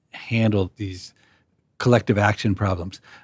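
A man talks at a moderate pace in a fairly low pitch, with an unremarkable speaking voice. The sound is dry and close with no echo, and the recording is very clean over a silent background. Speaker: podcast host and economics professor. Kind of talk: interview conversation.

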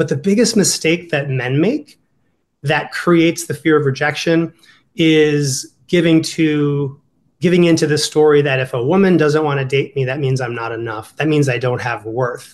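Moderate in pace, this man speaks with an American accent. His pitch is fairly high and varies in an ordinary way. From Ohio. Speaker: dating coach. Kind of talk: casual interview.

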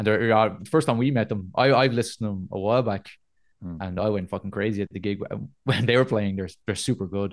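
A man speaks with a Dublin accent at a fairly quick pace. His pitch is fairly low with ordinary variation, over a quiet background. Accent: Dublin Irish. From Dublin, Ireland (north side). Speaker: metal band vocalist. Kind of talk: casual interview chat. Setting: video call.

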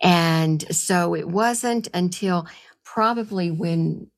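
This very clean recording with a silent background carries a voice with ordinary pitch variation. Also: woman. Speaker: guest, psychotherapist and sound healer. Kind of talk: interview conversation.

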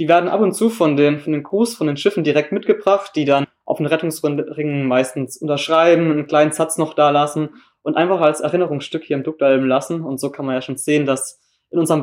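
With a normal speaking voice, a man talks fairly quickly at a fairly high pitch, his intonation fairly even. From southern Germany, Baden near Freiburg. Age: young. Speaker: volunteer at a seamen's club. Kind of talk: interview. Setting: on location at a seamen's club.

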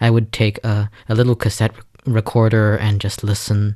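A man speaks with a Chinese accent at a fairly low pitch. The sound is dry and close, with no echo. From China. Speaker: pianist. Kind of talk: interview. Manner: fluent.

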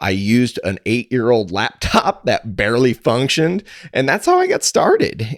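In a Midwestern American accent, the speaker talks at a fairly slow pace on a very clean recording with a silent background. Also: man, dry, close sound with no echo. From rural Missouri, US. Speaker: podcaster and cattle farmer, pharmacist. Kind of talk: interview.

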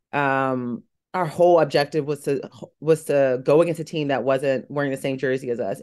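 A woman talks with a very deep, low pitch. The background is quiet. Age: 30s. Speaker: reality TV competitor. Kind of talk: casual chat. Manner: animated.

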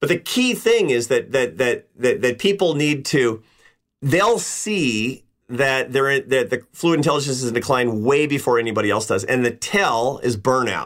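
Lively intonation runs through a normal speaking voice. The pace stays moderate. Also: man, medium pitch for a man, very even loudness, very clean recording, silent background. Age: 50s. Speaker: social scientist and author. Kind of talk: interview.

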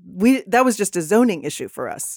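A woman with an American accent and a normal speaking voice talks at a moderate pace, recorded dry and close with no echo on a very clean recording with a silent background. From Texas. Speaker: city council candidate. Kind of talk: interview. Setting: podcast studio.

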